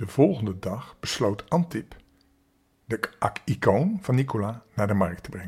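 At a fairly slow pace, a man speaks with medium pitch, a somewhat breathy sound and lively intonation. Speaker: children's storyteller. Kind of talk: casual chat; bedtime story reading. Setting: home in quarantine. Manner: gentle.

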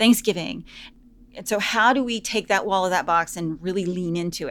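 Medium-pitched female speech with vocal fry, lively intonation and a fairly quick pace. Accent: American. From US South. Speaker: business professor. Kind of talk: interview.

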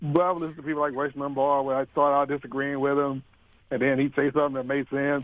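A man's fairly high voice with a Southern US accent. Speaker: radio show caller. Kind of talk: casual call-in chat. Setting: phone call.

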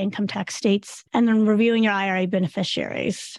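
In a normal speaking voice, the speaker talks at a fairly quick pace with ordinary pitch variation against a quiet background. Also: woman. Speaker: financial planner. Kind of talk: webinar introduction. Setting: video webinar.

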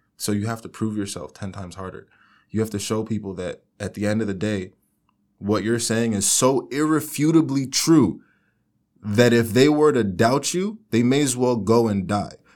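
A man with an American accent speaks in a normal speaking voice at a medium pitch, with ordinary pitch variation. The recording is very clean, with a silent background. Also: moderate pace. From South Florida. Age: young. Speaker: consulting firm executive. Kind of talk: interview.

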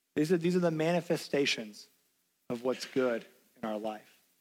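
A man with a Tennessee accent speaks at a moderate pace, his fairly high voice rising and falling in a lively way. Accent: Southern US (Tennessee). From US South, Knoxville, Tennessee. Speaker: pastor. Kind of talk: sermon.

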